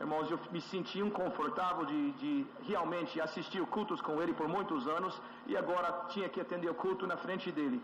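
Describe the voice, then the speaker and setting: Speaking at a moderate pace with hardly any pauses, a man with a Brazilian accent uses a high pitch, lively intonation and very even loudness over noticeable background noise. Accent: sounds Brazilian when speaking Portuguese. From USA. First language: English (speaking Portuguese). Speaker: church elder. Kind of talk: testimony. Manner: halting, with frequent fillers.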